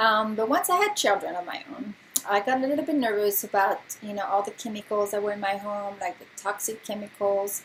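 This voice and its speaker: With a slight French accent, the speaker goes at a moderate pace with ordinary pitch variation, and noticeable background noise sits behind the voice. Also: woman. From France. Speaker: essential oils distributor and nurse. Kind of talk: informal presentation. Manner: casual with many filler words.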